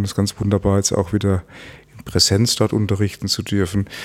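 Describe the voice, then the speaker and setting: A man with a fairly low pitch. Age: 50s. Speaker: climate scientist and academy president. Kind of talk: interview. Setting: office. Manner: halting, many fillers and repetitions.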